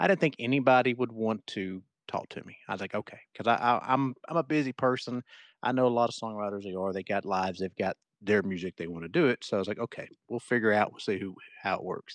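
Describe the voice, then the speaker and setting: Very fast male speech with big swings in loudness, a dry, close sound without echo and a quiet background. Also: medium pitch for a man, ordinary pitch variation. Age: 40s. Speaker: songwriter and podcast host. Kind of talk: casual interview chat. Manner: halting, repeats words.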